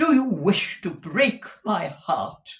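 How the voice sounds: A man's put-on character voice, high-pitched and fairly bright in tone, with big pitch swings at a slow pace.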